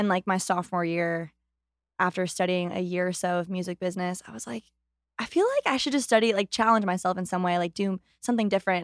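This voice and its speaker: A woman with an American accent and medium pitch talks at a very fast pace with ordinary pitch variation. The recording is very clean, silent in the background, with a dry, close sound and no echo. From US West Coast. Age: 20s. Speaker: country singer. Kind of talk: casual chat. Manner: fast talker.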